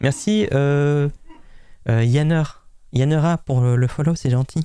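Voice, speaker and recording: Very slow speech with a dark, mellow tone, ordinary pitch variation and very even loudness. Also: man, fairly high pitch for a man. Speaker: streamer scambaiting a scammer. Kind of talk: live stream commentary. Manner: halting.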